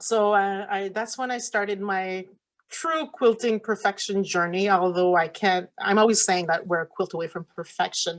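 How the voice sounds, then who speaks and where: A woman with a French accent speaks at a medium pitch and a moderate pace, with ordinary pitch variation against a quiet background. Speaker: quilt shop owner and pattern designer. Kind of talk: talk to a virtual conference audience. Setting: virtual conference. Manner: halting, many fillers.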